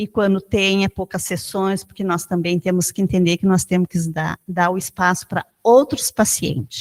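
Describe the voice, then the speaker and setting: Recorded very cleanly against a silent background, with a dry, close sound and no echo, a woman with a normal speaking voice talks at a moderate pace and medium pitch, using ordinary pitch variation and hardly any pauses. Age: 60s. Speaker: chronic pain patient. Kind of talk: testimony.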